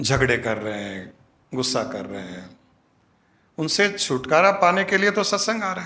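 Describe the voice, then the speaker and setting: Bright and sharp in tone, a man's voice shows vocal fry, very wide pitch swings and big swings in loudness. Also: fairly high pitch for a man. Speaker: spiritual guru. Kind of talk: satsang discourse.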